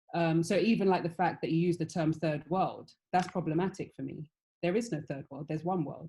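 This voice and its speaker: With a British accent, a woman speaks at a fairly quick pace in a very deep, low pitch and a dark, mellow tone, her intonation fairly even. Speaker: fashion panelist. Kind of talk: panel discussion.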